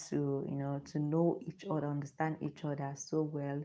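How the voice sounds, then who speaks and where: In a Nigerian accent, a woman speaks with a very deep, low pitch and a dark, mellow tone. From Nigeria (Igbo). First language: Igbo. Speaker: lifestyle vlogger. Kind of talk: live stream chat. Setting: live stream on phone with ring light.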